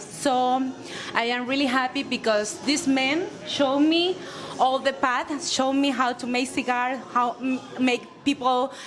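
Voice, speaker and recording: A woman's high-pitched voice at a fairly slow pace, with noticeable background noise. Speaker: cigar company owner. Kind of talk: panel introduction speech. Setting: cigar bar event with audience. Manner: halting.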